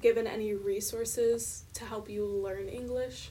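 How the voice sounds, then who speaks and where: A woman speaks at a fairly slow pace in a fairly high pitch. It is an ordinary speaking voice. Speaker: podcast co-host, education student. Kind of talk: casual interview.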